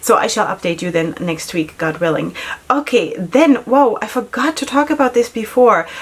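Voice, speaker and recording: A woman speaks at a moderate pace with a non-native accent, her fairly high voice making very wide pitch swings. Her tone is animated, and noticeable background noise runs underneath. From Germany. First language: not English. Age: 40s. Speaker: beauty vlogger and makeup artist. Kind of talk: casual product review vlog. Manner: chatty, animated.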